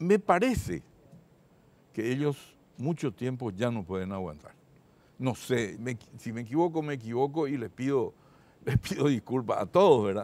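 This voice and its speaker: A man with a dark, mellow tone and lively intonation speaks at a fairly slow pace, leaving long, frequent pauses, in a dry sound with no echo. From northern Paraguay (Concepción); Paraguay. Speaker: supreme court judge. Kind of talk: TV interview. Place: studio. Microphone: lapel.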